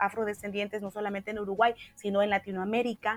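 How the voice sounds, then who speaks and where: A woman speaks in a Santa Cruz Bolivian accent. Her pitch is medium. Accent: Santa Cruz (Camba) Bolivian Spanish. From Bolivia, Santa Cruz. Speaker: social activist. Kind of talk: interview conversation.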